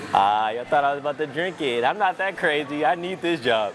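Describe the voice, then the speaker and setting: Backed by music in the background, a man speaks at a moderate pace with lively intonation and an upbeat, energetic tone. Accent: American. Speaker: local TV sports anchor and reporter. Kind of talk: TV sports broadcast reel. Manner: upbeat, energetic, joking.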